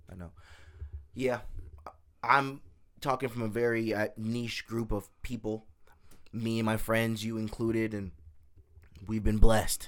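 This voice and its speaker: Speech comes at a fairly slow pace with long, frequent pauses. The speaker has an American accent. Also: man, medium pitch for a man, big swings in loudness. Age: 20s. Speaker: podcast host. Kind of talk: casual chat. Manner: animated.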